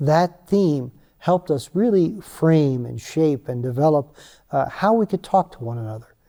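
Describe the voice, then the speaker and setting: A man with a fairly high pitch and a dark, mellow tone speaks at a moderate pace, with lively intonation and big swings in loudness, in a dry, close sound with no echo. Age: 60s. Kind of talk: interview. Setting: retreat in Nepal.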